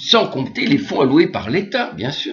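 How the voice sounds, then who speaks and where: A man speaks at a fairly slow pace. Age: 60s. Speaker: English teacher and trainer. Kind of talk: video monologue rant. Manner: halting.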